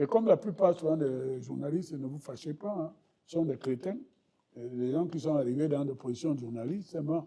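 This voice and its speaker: This man's voice has a dark, mellow tone, a fairly high pitch and ordinary pitch variation. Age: 70s. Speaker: political party official and banker. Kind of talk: interview.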